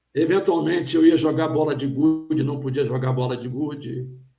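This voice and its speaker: Audible room echo hangs in the space. A man's voice carries through it. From Brazil, Rio de Janeiro state (Petrópolis). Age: 60s. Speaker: pastor and theologian. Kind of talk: interview on live stream.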